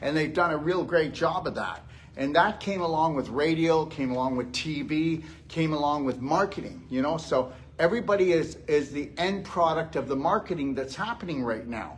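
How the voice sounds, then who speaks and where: Animated delivery in an American accent, ordinary pitch variation, and audible room echo. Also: man, fairly high pitch for a man, moderate pace. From Texas. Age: 60s. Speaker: health lecturer. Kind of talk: live lecture. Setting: stage with audience at a gym. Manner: animated, conversational.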